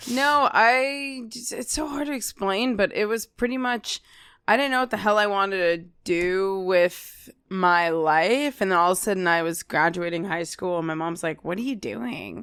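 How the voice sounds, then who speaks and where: A woman with an American accent and very wide pitch swings, on a very clean recording with a silent background. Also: medium pitch for a woman, moderate pace. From Kearny, New Jersey. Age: 20s. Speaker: comedian. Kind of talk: casual chat.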